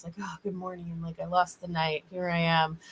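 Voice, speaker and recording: A woman talks at a fairly quick pace. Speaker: spiritual reader and healer. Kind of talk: livestream chat with readings. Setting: online livestream. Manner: fast; casual, animated.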